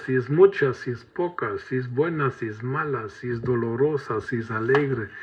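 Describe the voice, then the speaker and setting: With a German accent, a man speaks fairly slowly at medium pitch, somewhat breathy, with ordinary pitch variation. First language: German (speaking Spanish). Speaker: preacher. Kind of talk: sermon.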